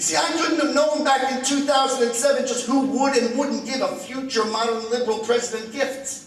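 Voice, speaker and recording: With an American accent, a man speaks at an extremely high pitch and a fairly quick pace, fairly even in intonation, with hardly any pauses and noticeable background noise. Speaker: comedian and political speaker. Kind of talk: lecture. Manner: fast.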